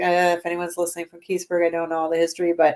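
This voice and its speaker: The speaker is a woman. She has a Minnesotan accent. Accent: Minnesota. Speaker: paranormal investigator. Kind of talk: casual chat.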